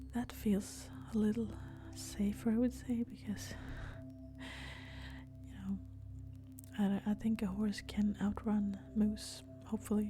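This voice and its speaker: Music plays in the background as a woman speaks in a calm tone at a fairly slow pace with long, frequent pauses. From Sweden. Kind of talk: ASMR soft-spoken talk to camera while walking. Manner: soft-spoken, calm.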